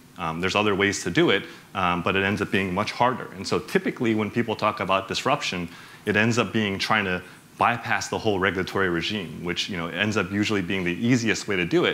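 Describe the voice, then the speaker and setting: Recorded with audible room echo, a man with an American accent and a fairly low pitch speaks at a very fast pace in a bright, sharp tone. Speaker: bank executive, conference speaker. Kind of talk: conference talk. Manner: animated; many fillers, casual.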